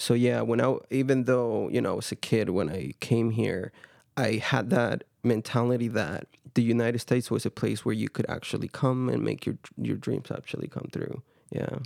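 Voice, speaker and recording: A man talks with vocal fry and ordinary pitch variation. The sound is dry and close, without echo. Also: medium pitch for a man, moderate pace, very clean recording, silent background. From Guatemala, Quetzaltenango. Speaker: university student. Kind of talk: casual interview.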